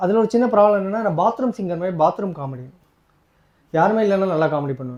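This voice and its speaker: Lively intonation marks a man speaking in a high pitch. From Madurai, Tamil Nadu. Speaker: actor and stand-up comedian. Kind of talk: live stand-up comedy set.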